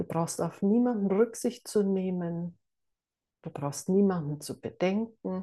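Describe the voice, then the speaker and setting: A woman's calm, soothing tone, very slow, with ordinary pitch variation. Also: medium pitch for a woman. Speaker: meditation teacher. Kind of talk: guided meditation. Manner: slow, calm, soothing, with long pauses; soft-spoken, gentle.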